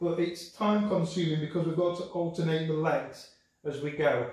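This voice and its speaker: Through audible room echo, a man speaks at a high pitch. His pace is moderate. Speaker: pilates instructor. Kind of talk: exercise class instruction. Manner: instructive, measured pacing.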